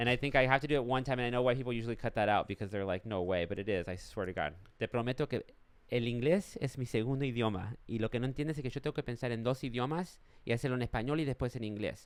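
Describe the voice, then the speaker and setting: A man races along at a very fast pace in a medium pitch with ordinary pitch variation. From Los Angeles, born in Argentina. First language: Spanish. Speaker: stand-up comedian. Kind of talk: casual chat.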